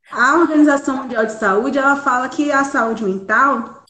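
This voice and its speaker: A woman's bright, sharp tone with audible room echo. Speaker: psychologist. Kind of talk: live stream talk.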